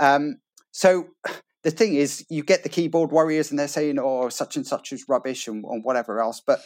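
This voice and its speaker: A man with a plain, everyday voice and a fairly high pitch speaks at a moderate pace with lively intonation, recorded very cleanly in a dry, close sound against a silent background. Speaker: co-host and race commentator. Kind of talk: casual interview chat.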